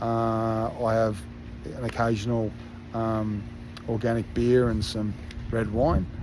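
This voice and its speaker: With an Australian accent, a man talks at medium pitch and a very slow pace, keeping his intonation fairly even and leaving long, frequent pauses, with audible room echo around him. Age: 50s. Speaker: fitness coach. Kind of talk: casual monologue to online community. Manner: halting, many filler words.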